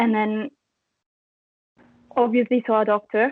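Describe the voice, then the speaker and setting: This is a woman speaking. She has an Italian accent. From Italy. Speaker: chronic fatigue patient sharing story. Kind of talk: interview.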